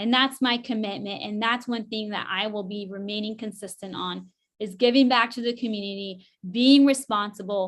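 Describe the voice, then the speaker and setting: Over a quiet background, a woman talks in a normal speaking voice with an American accent. Her pitch is fairly high, her intonation fairly even and her pace moderate. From Northern California (rural). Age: 30s. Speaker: political candidate. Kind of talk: candidate forum answer.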